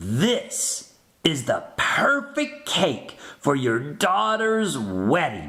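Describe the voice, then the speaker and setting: The speaker is a man using a put-on character voice. It sits high and moves at a very slow pace. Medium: read story. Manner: polite, formal with customers.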